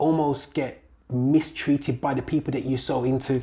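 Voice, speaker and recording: The voice has an animated tone. It speaks with a Birmingham accent. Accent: Birmingham (Brummie) English. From Birmingham, England. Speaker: gospel music producer and promoter. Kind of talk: casual interview chat. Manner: animated, laughing.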